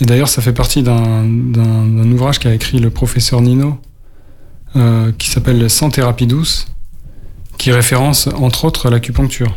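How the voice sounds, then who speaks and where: The man's pitch is in the medium range. He talks in a monotone, flat intonation. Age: 40s. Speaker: radio co-host living with Parkinson's. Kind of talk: radio talk show. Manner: halting.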